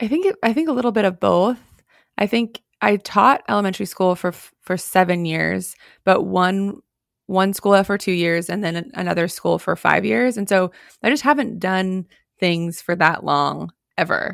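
On a very clean recording with a silent background, a woman with a plain, everyday voice speaks at a moderate pace and medium pitch, with ordinary pitch variation. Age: 30s. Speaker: real estate brokerage co-founder and podcast co-host. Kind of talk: casual chat.

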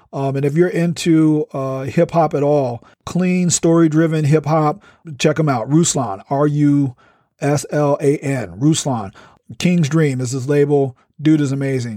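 The voice has a dark, mellow tone, a fairly slow pace and ordinary pitch variation. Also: man, fairly high pitch for a man. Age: 40s. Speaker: professor and podcast host. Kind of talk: casual solo talk. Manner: animated.

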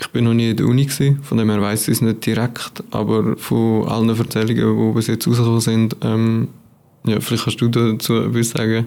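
This man talks at a fairly quick pace with a medium pitch and a monotone, flat intonation. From Switzerland, Aargau (near Baden). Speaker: psychology student. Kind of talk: casual interview.

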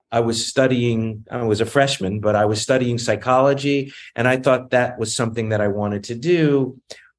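With an American accent, a man has an ordinary speaking voice at a medium pitch, speaking at a moderate pace with ordinary pitch variation over a quiet background. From US South, Virginia (Newport News). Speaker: film and television producer. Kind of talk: interview.

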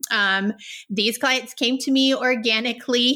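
A woman with an American accent speaks at a fairly slow pace in a bright, sharp tone. Her intonation is fairly even, on a very clean recording with a silent background. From rural Texas. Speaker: pharmacist turned health coach. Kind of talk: casual interview.

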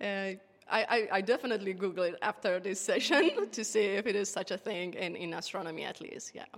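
A woman's medium-pitched voice with a Persian accent, at a fairly quick pace with ordinary pitch variation, over noticeable background noise. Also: big swings in loudness. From Iran. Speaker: geodesy researcher. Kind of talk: casual interview. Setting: radio astronomy museum.

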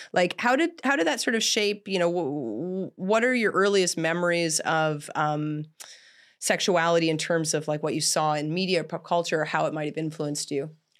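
An unremarkable speaking voice from a woman with a Canadian accent, fairly low in pitch, with ordinary pitch variation, a moderate pace, and a very clean recording with a silent background. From Canada. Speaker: podcast host and adult film director. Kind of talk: casual interview chat. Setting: studio set.

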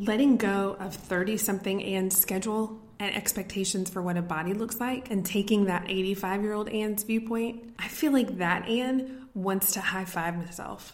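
A woman with an American accent speaks at a moderate pace, using a medium pitch and fairly even intonation with hardly any pauses. Noticeable background noise is present. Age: 30s. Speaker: podcast host. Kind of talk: solo pep talk.

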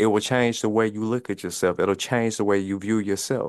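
In a Mississippi accent, a man talks at a moderate pace with medium pitch and fairly even intonation. The background is quiet. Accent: US Southern, Mississippi. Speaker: fitness coach. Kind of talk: podcast interview.

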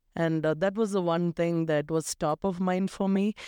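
A woman's fairly low, dark, mellow voice in a South Indian accent, with fairly even intonation, a dry, close sound with no echo, and a quiet background. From South India, Tamil Nadu. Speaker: tech leader. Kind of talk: interview conversation.

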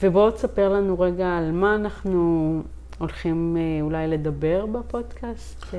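A woman's very slow speech, with audible room echo and noticeable background noise. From Israel, Haifa Krayot. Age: 30s. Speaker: life coach and podcast co-host. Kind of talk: casual chat. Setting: recording at home on a couch.

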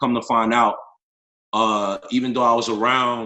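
Using a normal speaking voice, the man talks at a moderate pace, his medium pitch carried by fairly even intonation. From northern New Jersey. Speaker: life coach and yoga teacher. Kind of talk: personal testimony in interview.

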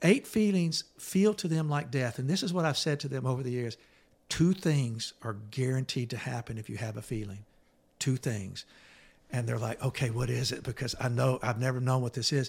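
A man's somewhat breathy voice at medium pitch, lively intonation and moderate pace, on a very clean recording with a silent background. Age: 60s. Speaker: therapist and author. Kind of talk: casual chat.

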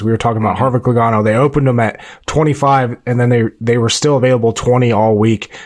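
Speaking at a very fast pace, a man uses a medium-pitched voice. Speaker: NASCAR podcast host. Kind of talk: casual chat.

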